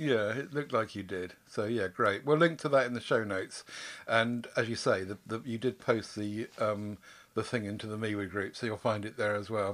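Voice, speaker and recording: A man's ordinary speaking voice, an ordinary speaking voice, fairly low in pitch, with ordinary pitch variation at a moderate pace on a very clean recording with a silent background. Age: 60s.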